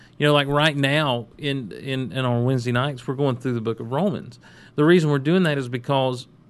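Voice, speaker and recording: With an American accent, a man talks at a fairly quick pace in a normal speaking voice, medium in pitch and fairly even in intonation. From US South. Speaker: pastor, podcast co-host. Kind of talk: casual chat about faith.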